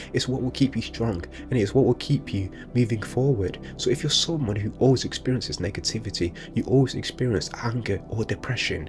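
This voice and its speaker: A man's voice at a medium pitch comes through with music in the background. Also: ordinary pitch variation, fairly quick pace. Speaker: motivational speaker. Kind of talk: motivational monologue. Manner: casual, unscripted; occasional stutter.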